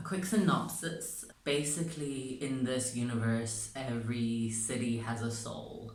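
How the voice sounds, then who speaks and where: Medium-pitched male voice with audible room echo. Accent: non-native. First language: not English. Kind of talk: casual vlog chat. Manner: animated.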